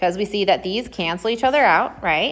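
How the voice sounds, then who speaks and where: A woman's ordinary speaking voice with an American accent, at a moderate pace and with ordinary pitch variation. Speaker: math teacher. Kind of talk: tutorial.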